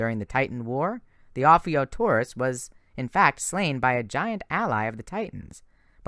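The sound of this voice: An unforced reading voice carries this clip.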